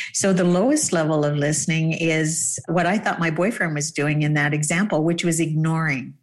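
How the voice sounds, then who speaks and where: A woman with a Canadian accent and a very deep, low pitch speaks at a moderate pace with hardly any pauses. Her loudness is very even and her intonation fairly even. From Canada. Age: 50s. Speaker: dating coach. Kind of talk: casual chat.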